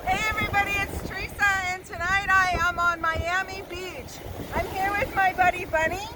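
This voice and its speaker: A woman's raised, projected voice at an extremely high pitch, monotone and flat, at a moderate pace over noticeable background noise. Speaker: veteran, outreach representative. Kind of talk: promotional announcement. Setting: outdoors at the beach.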